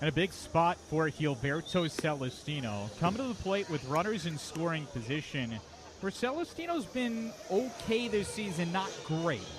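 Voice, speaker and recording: A high-pitched man with very wide pitch swings, hardly any pauses and noticeable background noise. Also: moderate pace. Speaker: baseball radio play-by-play announcer. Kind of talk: baseball radio play-by-play call.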